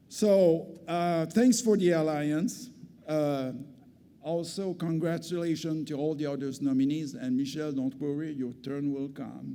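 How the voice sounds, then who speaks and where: Amid audible room echo, a man talks at a fairly slow pace in a dark, mellow tone. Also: fairly high pitch for a man, ordinary pitch variation. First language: French. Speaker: community health centre executive, award recipient. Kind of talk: award acceptance speech. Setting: stage with audience at gala. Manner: halting, with hesitations and restarts.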